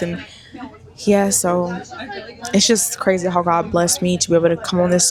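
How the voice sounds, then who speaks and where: Noticeable background noise sits behind a woman talking at a moderate pace. Her fairly low voice keeps fairly even intonation. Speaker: lifestyle and hair influencer vlogger. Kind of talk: casual vlog to camera. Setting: on a bus, then at an event.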